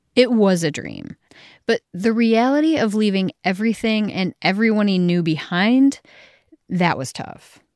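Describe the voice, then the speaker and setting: In a very clean recording with a silent background and a dry, close sound with no echo, a woman with an ordinary speaking voice talks at a fairly slow pace in a medium pitch with lively intonation. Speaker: podcast host. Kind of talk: scripted narration. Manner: formal.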